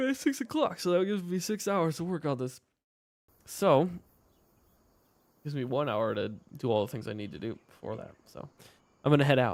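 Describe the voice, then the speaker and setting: A quiet man speaks at a fairly quick pace and fairly high pitch, with long, frequent pauses in a very clean recording with a silent background. His pitch swings very widely and his loudness shifts a great deal. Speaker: gaming streamer and map maker. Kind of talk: live gameplay stream chat. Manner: getting quiet.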